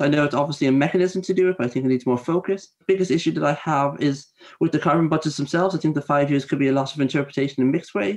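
A man with an Irish accent talks at a very fast pace in a fairly high pitch. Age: 20s. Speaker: youth council member. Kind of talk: panel discussion.

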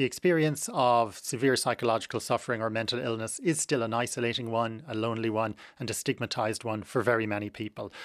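A man with an Irish accent, medium pitch, fairly even intonation and a very fast pace, on a very clean recording with a silent background. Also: hardly any pauses, dry, close sound with no echo. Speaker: psychiatry professor and author. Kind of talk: radio interview. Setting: radio studio.

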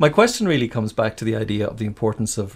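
The voice is somewhat breathy, on a very clean recording with a silent background. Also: man. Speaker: radio host, interviewer. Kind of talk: radio interview.

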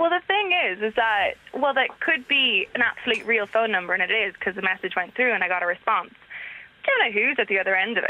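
Against noticeable background noise, a woman with an American accent speaks very fast at fairly high pitch with lively intonation. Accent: Irish with slight American tinge. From Dublin, Ireland. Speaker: caller. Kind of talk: casual chat. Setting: phone call.

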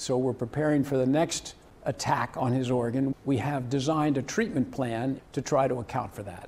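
This man has a plain, everyday voice, speaking at a moderate pace and medium pitch with fairly even intonation. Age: 50s. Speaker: heart surgery patient. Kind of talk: radio interview.

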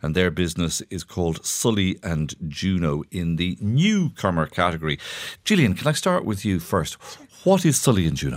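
With an Irish accent, a man speaks at a moderate pace in a very deep, low pitch and lively intonation. The recording is very clean, with a silent background. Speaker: radio host. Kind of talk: radio interview. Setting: studio.

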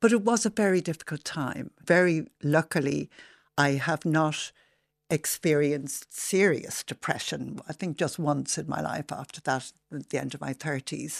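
A woman with a Dublin accent, very deep and low in pitch, with vocal fry, ordinary pitch variation, big swings in loudness, and a moderate pace, recorded against a quiet background with a dry, close sound and no echo. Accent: Dublin Irish. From Dublin, Ireland (Rathmines). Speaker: activist and campaigner. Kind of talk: radio interview.

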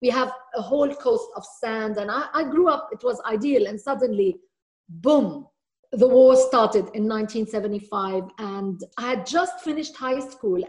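A woman speaks at a fairly slow pace with a high pitch. Her intonation is lively, and her loudness swings widely. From Lebanon. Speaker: children's author. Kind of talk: interview. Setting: video call.

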